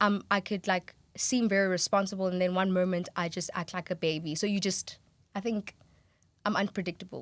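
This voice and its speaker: A woman's medium-pitched voice at a fairly quick pace, with fairly even intonation, on a very clean recording with a silent background. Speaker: sound production student. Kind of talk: casual chat. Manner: loud.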